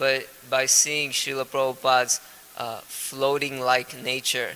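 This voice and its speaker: Amid noticeable background noise, a man speaks at a medium pitch and a fairly slow pace. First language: Gujarati. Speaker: spiritual teacher. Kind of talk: lecture. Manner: halting, frequent uh fillers.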